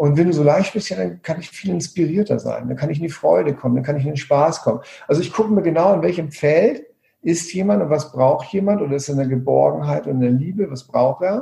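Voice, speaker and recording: Very fast and with lively intonation, a man delivers his words. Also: fairly high pitch for a man. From Hamburg, northern Germany. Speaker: coach and trainer. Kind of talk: podcast interview.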